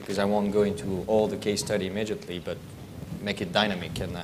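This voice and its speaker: A man with a French accent, fairly low in pitch, with audible room echo. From France. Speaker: aerospace industry professional, panelist. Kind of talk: conference panel talk.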